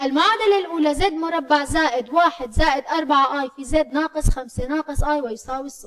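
The pace is moderate. The background is quiet. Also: woman. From Syria. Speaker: math teacher. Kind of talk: lecture. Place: meeting room.

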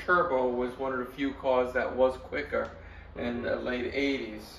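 The pace is moderate. There is audible room echo and light background noise. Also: man. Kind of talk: interview answer. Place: garage.

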